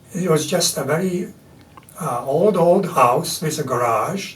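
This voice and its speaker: A man speaks with lively intonation, his voice carrying audible room echo over noticeable background noise. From Latvia. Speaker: artist and printmaker. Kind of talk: interview. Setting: studio.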